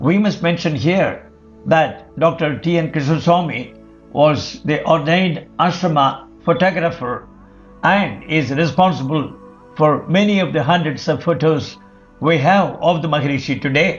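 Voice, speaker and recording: A man speaks at a fairly slow pace with a fairly high pitch and ordinary pitch variation. His loudness stays very even while music plays in the background. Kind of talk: documentary narration read from a magazine article.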